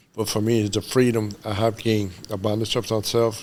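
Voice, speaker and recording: A medium-pitched man talks at a fairly quick pace, with noticeable background noise behind him. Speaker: recovery peer worker. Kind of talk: interview. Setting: studio. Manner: animated.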